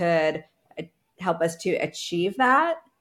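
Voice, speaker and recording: An unremarkable speaking voice from a woman with an American accent, medium in pitch and fairly slow, on a very clean recording with a silent background. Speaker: agency founder and business coach. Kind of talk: casual interview chat.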